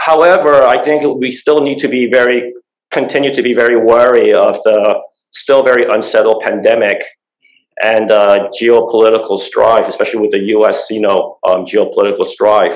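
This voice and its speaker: A man keeps a moderate pace, and the background is quiet. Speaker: panel moderator. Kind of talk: moderated panel introduction. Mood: formal, measured. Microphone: video call.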